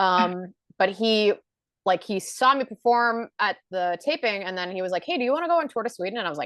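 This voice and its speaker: At a fairly quick pace, a woman with a medium pitch speaks with very wide pitch swings, the sound dry and close with no echo and a quiet background. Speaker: stand-up comedian. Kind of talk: casual chat. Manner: fast.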